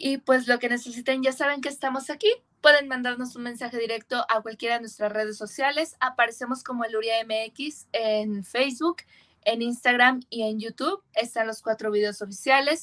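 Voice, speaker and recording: A woman speaks at a high pitch with ordinary pitch variation and a moderate pace, in a dry, close sound with no echo. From rural Mexico. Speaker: metal band singer. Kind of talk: casual chat.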